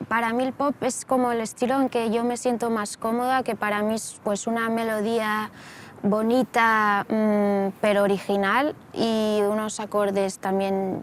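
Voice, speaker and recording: A woman with a western Catalan accent speaks fairly slowly at a fairly high pitch, flat and monotone, her loudness very even. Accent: western Catalan (Lleida). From Lleida, Catalonia. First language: Catalan (speaking Spanish). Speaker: pop singer-songwriter. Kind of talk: interview.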